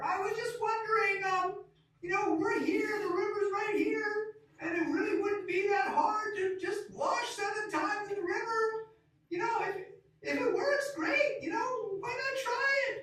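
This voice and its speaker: An extremely high, put-on character voice comes at a moderate pace. A strong echo surrounds it. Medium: stage play. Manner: hesitant, halting.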